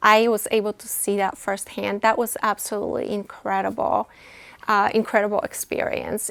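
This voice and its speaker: A woman with a Polish accent. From Poland. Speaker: nonprofit executive director. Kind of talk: interview. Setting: studio. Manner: hesitant, many fillers.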